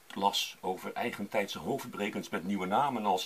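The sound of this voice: Unforced reading, spoken aloud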